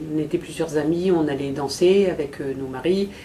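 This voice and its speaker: A woman's very deep, low voice carries audible room echo and noticeable background noise. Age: 60s. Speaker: patient giving testimony. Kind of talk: testimony. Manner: halting, many hesitations.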